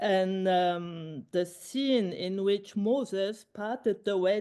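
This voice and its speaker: Very slowly, a woman speaks with a non-native accent and a dark, mellow tone. The background is quiet. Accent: non-native English speaker. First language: Luxembourgish. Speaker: filmmaker. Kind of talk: conversation interview. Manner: halting.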